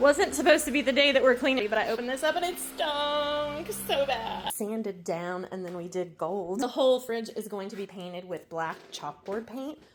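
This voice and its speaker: A woman with an American accent speaks at a moderate pace with hardly any pauses, her fairly high voice making very wide pitch swings and big swings in loudness over noticeable background noise. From central Pennsylvania. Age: old. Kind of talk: casual DIY voiceover.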